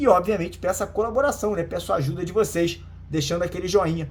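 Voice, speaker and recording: A man's very fast, animated talk with ordinary pitch variation, audible room echo and music in the background. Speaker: football news youtuber. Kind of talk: casual news commentary.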